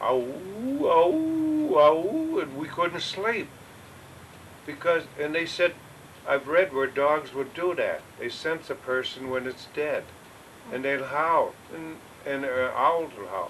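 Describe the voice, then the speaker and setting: A man with an American accent, very slow pace and long, frequent pauses, with noticeable background noise. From upstate New York. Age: 80s+. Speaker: retired farmer. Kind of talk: oral history interview. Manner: halting.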